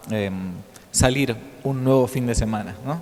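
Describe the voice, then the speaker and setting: With an Argentine accent, a man speaks at a medium pitch over noticeable background noise. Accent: Rioplatense Argentine Spanish. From Argentina, Buenos Aires. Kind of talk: lecture. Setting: conference hall with audience. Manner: hesitant, filler-heavy.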